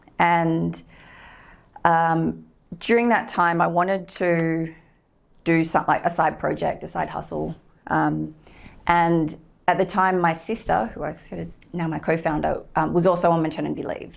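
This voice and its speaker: Against a silent background in a very clean recording, a woman with an Australian accent speaks fairly slowly, leaving long, frequent pauses as her loudness swings widely. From Australia, Sydney. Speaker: company co-founder and director. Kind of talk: guest lecture. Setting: lecture room with audience. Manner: hesitant, many fillers.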